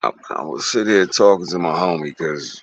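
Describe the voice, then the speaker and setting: The speaker is a man. He goes at a moderate pace. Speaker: contractor vlogger. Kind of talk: casual live stream talk.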